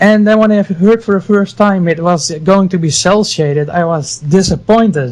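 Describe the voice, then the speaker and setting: A man with a Dutch accent speaks at a moderate pace, hardly pausing at all. His pitch is high, with ordinary variation. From Netherlands, Friesland. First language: Dutch or Frisian. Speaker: game artist. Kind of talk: casual interview chat.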